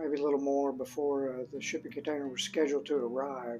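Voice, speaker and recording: Faint background music accompanies a man as he talks. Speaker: DIY channel host. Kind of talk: tutorial. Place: home room. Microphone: phone near.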